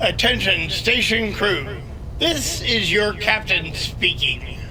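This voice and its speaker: Over loud background noise, a man performs a put-on character voice. He speaks at a fairly slow pace. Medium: audio drama. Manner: dry, offhand.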